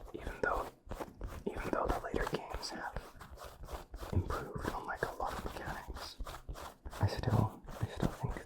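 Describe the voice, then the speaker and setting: Whispering at a moderate pace carries over noticeable background noise. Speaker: ASMR creator. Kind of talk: ASMR whispering.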